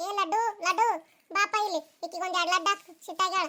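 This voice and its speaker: A woman's squeaky, cartoonish character voice, extremely high-pitched and flat in a monotone. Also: moderate pace. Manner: chatty, matter-of-fact.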